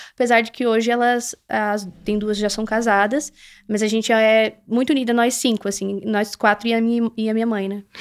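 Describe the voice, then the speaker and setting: A woman's monotone, flat delivery at a moderate pace, against a quiet background. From southern Brazil, Santa Catarina. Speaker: influencer and reality show contestant; influencer. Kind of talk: casual interview. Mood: relaxed, personal storytelling. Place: studio. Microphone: studio mic.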